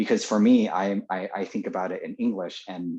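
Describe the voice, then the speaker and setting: A man speaks with a Californian accent. His pace is fairly quick. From California, Los Angeles. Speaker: former teacher in Japan. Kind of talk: interview. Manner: halting, many fillers and repeats.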